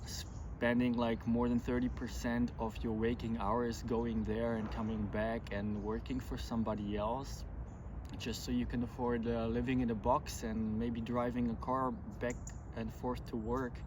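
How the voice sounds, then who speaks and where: A man with a strong German accent speaks at a fairly slow pace. Audible room echo surrounds his voice. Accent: thick German. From Germany. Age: 40s. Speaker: vlogger, pilgrim. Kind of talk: casual vlog talk to camera. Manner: hesitant, many fillers.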